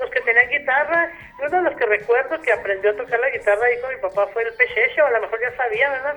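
A woman talks at a very fast pace and a high pitch with ordinary pitch variation, against noticeable background noise. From Mexico, Ciudad Madera, Chihuahua. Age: 60s. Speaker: retired teacher. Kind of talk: radio interview. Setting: phone call.

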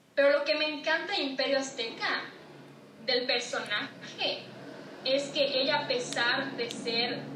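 With a Yucatecan accent, a woman speaks at a fairly slow pace in a high pitch with ordinary pitch variation, amid noticeable background noise and audible room echo. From Mexico, Yucatán. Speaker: TikTok creator and author. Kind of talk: casual interview. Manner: clipped Yucatecan delivery.

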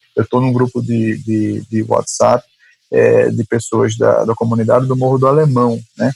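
A man talks at a fairly slow pace in a dry, close sound with no echo. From Recife, Brazil. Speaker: family doctor and professor. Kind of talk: casual discussion.

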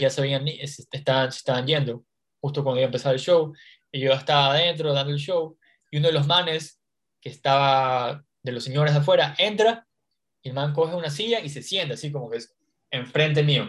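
A man talks at a fairly quick pace with a fairly high pitch and a somewhat breathy voice. Long, frequent pauses and big swings in loudness mark his speech. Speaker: stand-up comedian and podcast host. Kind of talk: casual interview chat.

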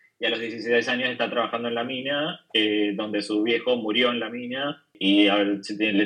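This man has an unremarkable speaking voice, pitched in the medium range. He keeps a moderate pace and a fairly even intonation. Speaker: comic artist. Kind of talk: casual chat. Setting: video call. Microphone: remote call audio, poorer quality.

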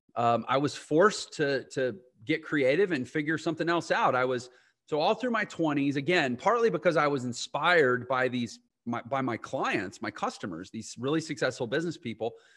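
This man has an unremarkable speaking voice, pitched fairly high, with lively intonation. He talks at a moderate pace against a quiet background. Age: 40s. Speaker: entrepreneur and online business educator. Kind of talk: interview.

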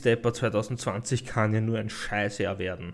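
A man talks with an Austrian accent. The recording is very clean, the background silent. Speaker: podcast host. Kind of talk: casual chat.

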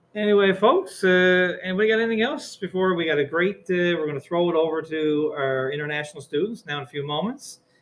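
A man with a Newfoundland accent, high-pitched with ordinary pitch variation, at a very fast pace with hardly any pauses. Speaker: high school teacher. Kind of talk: school podcast chat. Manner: fast talker.

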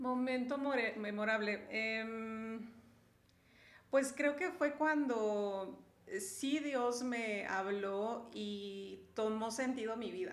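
Talking very slowly in a room with audible echo, a woman uses a fairly high pitch with ordinary pitch variation. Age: 40s. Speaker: mother and marriage ministry leader. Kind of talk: casual chat.

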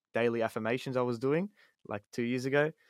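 A man speaks with an Australian accent and fairly even intonation. The recording is very clean with a silent background, and the sound is dry and close with no echo. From Australia, Sydney. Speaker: hip-hop artist. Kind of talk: casual chat. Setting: home studio.

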